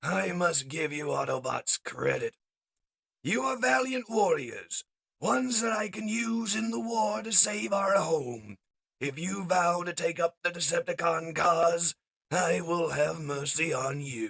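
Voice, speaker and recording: A man's raspy, high-pitched, put-on character voice. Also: fairly slow pace. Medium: read story. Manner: commanding, grandiose.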